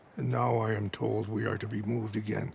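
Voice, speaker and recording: Using a put-on character voice, a man speaks at a fairly quick pace in a raspy, fairly low pitch with a solemn tone and lively intonation. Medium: video game. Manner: measured, solemn.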